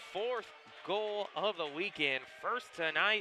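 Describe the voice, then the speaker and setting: Over music in the background, a man uses a raised, projected voice. His pitch is high and his intonation lively. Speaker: sports play-by-play announcer. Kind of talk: hockey play-by-play commentary.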